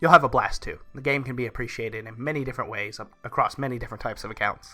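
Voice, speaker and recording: A man speaks at a very fast pace over music in the background, his pitch medium with ordinary variation. His loudness swings widely. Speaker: gaming YouTuber. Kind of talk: game review talk.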